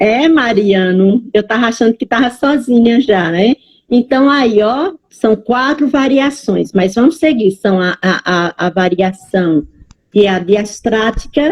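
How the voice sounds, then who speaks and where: Her voice is fairly high, and her intonation is lively. This woman talks at a very slow pace. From Bahia, Brazil. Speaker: Portuguese language teacher. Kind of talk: online lecture. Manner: animated.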